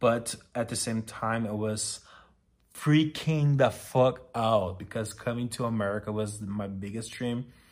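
A man with a Brazilian accent and fairly even intonation. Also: medium pitch for a man, fairly slow pace. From Brazil, small town. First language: Portuguese. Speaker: podcast host. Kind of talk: personal monologue. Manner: halting.

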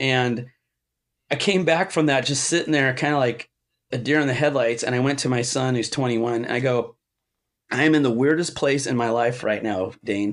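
In an American accent, a man speaks at a moderate pace and medium pitch with ordinary pitch variation, using a plain, everyday voice over a quiet background. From Southern California. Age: 50s. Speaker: guitar pedal maker and musician. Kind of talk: casual chat.

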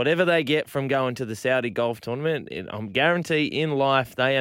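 A man with an Australian accent speaks at a fairly quick pace and medium pitch. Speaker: sports radio host. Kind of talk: casual sports chat. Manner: bantering, teasing.

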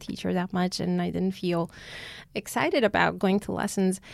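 A very clean recording with a silent background captures a woman speaking with an Armenian accent. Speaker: concert pianist. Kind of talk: interview.

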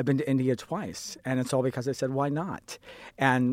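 Speaking at a fairly quick pace, a man at medium pitch has an unremarkable speaking voice. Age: 40s. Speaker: sign language interpreter. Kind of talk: panel discussion.

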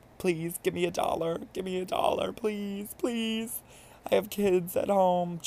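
Putting on a character voice, a man talks with a high pitch at a fairly slow pace and with fairly even intonation. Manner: mock begging.

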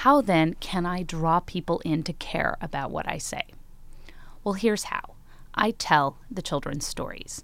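A woman whispering at a moderate pace with an American accent, on a very clean recording with a silent background. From Chicago, US Midwest. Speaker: psychology professor. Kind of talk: live storytelling talk. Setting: stage with audience.

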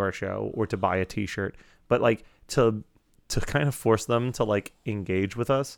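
Over a very clean recording with a silent background, a man uses an ordinary speaking voice at a fairly low pitch and a moderate pace. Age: 30s. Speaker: podcast producer. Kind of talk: casual chat.

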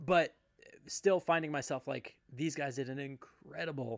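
In an unremarkable speaking voice, a man speaks fairly slowly at a fairly high pitch with fairly even intonation. The sound is dry and close, with no echo. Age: 40s. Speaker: podcast host. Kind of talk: casual chat.

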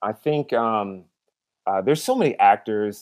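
A man's normal speaking voice with an American accent, medium in pitch, at a fairly slow pace. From Seattle, US West Coast. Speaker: podcast guest. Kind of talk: casual chat.

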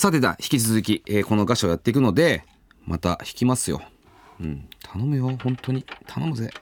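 Sounding relaxed, a man at medium pitch talks at a moderate pace while his pitch swings very widely. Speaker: podcast host. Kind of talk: casual chat.

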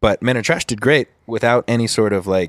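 With an American accent and an unremarkable speaking voice, a man talks at a moderate pace with ordinary pitch variation, recorded dry and close with no echo and very clean against a silent background. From Southern California, Huntington Beach. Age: 20s. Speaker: YouTuber and singer-songwriter. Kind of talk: casual chat. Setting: outdoor balcony.

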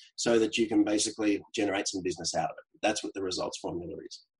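This man talks with an Australian accent and ordinary pitch variation. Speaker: LinkedIn coach. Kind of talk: casual interview.

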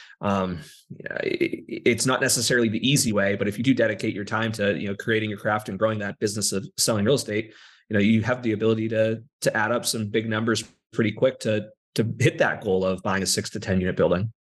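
The pace is very fast, the intonation fairly even. The background stays quiet. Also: man, fairly low pitch for a man. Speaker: real estate agent and property manager. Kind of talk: casual interview chat.

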